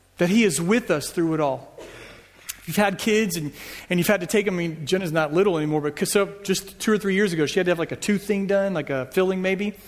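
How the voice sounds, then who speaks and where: With an American accent, a man talks very fast in a high voice. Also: ordinary pitch variation. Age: 40s. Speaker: pastor. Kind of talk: sermon. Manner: casual.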